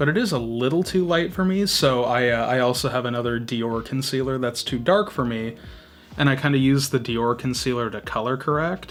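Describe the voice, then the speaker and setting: With noticeable background noise behind him, a man speaks fairly quickly at a medium pitch with ordinary pitch variation. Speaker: beauty youtuber. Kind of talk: makeup tutorial. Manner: casual, chatty.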